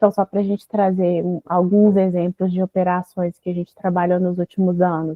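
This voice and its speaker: A woman at medium pitch keeps a moderate pace with hardly any pauses and a monotone, flat intonation. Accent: Minas Gerais. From Brazil, Minas Gerais. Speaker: mining lawyer. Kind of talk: online seminar talk.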